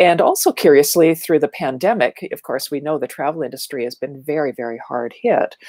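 With a Canadian accent, this speaker talks at a fairly quick pace with lively intonation and a dark, mellow tone, in a dry sound with no echo against a quiet background. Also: woman, very deep, low pitch for a woman. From Ontario, Canada (small town north of Toronto). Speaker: marketing speaker and educator; speaker, educator. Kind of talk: casual interview chat. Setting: video call. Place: home room. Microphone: earbuds.

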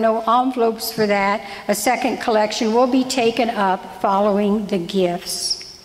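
Intonation stays fairly even as a woman talks at a moderate pace. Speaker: lay reader giving parish announcements. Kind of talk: church announcements and prayer intro. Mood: gentle, light humor then solemn. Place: church. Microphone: podium.

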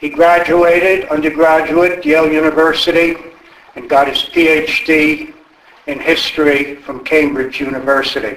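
Audible room echo surrounds a man speaking at a fairly high pitch and fairly slow pace. His pitch varies in an ordinary way, with big swings in loudness. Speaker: event moderator for a history society. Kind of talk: event introduction. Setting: stage with audience. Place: hall.

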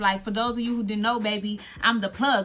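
A woman speaks in a raised, projected voice. Light background noise can be heard. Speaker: content creator, custom shoe maker. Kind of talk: casual tutorial vlog. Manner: casual, chatty. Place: home room. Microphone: phone near.

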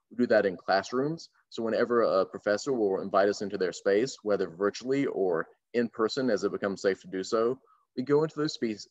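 With a plain, everyday voice, a man in an American accent speaks at a fairly quick pace, medium in pitch with ordinary pitch variation, in a dry, close sound with no echo. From North Carolina. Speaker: voter engagement organizer. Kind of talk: panel discussion. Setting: video call.

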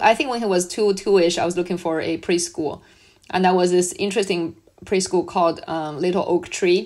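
Over a very clean recording with a silent background, a woman speaks with a Chinese accent. Her medium pitch holds fairly even intonation at a fairly quick pace. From China. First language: Mandarin Chinese. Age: 40s. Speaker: school founder. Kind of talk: interview.

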